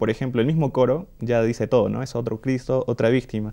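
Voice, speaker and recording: A man's dark, mellow tone comes through at a moderate pace, with a quiet background behind him. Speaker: choir singer; interview guest. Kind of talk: interview. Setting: studio. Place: studio.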